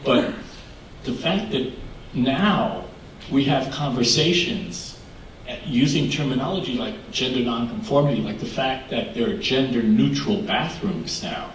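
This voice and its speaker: The speaker's pitch swings very widely. Background noise is noticeable, and the room echo can be heard. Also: man, fairly high pitch for a man, fairly slow pace. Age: 60s. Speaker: LGBTQ activist panelist. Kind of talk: panel discussion.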